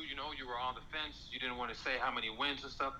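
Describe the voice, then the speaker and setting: A man's very fast speech with fairly even intonation amid noticeable background noise. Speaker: fan calling in. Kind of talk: casual chat. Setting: online audio room.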